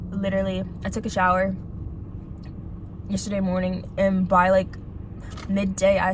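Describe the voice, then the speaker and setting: A woman speaks at medium pitch and a moderate pace, leaving long, frequent pauses. Room echo is audible, along with noticeable background noise. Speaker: video blogger. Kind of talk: casual monologue while eating. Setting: in a car in a parking lot. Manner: soft-spoken; halting, lots of fillers.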